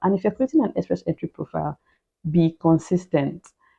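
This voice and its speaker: A woman's fairly low voice with vocal fry, at a very fast pace. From Nigeria. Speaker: immigration vlogger. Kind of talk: casual vlog advice. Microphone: new mic.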